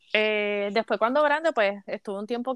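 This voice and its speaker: A woman with a Puerto Rican accent speaks at a fairly slow pace in a fairly high pitch, her voice dry and close with no echo over a quiet background. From Puerto Rico, Caguas. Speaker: sports commentator. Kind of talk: casual chat.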